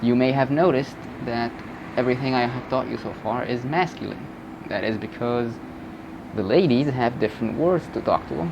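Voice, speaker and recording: With an Egyptian accent, a man talks at a fairly quick pace in a medium pitch and ordinary pitch variation, leaving long, frequent pauses over noticeable background noise. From Egypt (north). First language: Egyptian Arabic. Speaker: language teacher YouTuber. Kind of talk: tutorial. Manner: casual.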